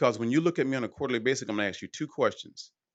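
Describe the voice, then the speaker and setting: A man speaks at a very fast pace in an animated tone. His pitch is medium, and the background is quiet. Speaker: roller skater, businessman. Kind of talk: interview, life story.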